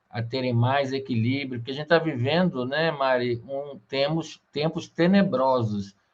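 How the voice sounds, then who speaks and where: Using an ordinary speaking voice, a man talks at a fairly slow pace with a fairly high pitch and ordinary pitch variation. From Rio de Janeiro, Brazil. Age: 50s. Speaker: interview host. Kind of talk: interview.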